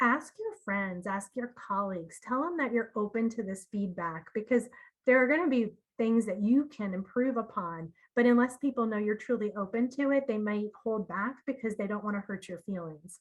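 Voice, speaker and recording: A woman speaks at a moderate pace against a quiet background. Her voice is fairly high and somewhat breathy, with ordinary pitch variation. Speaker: marketing communications director. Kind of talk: seminar presentation. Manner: soft-spoken.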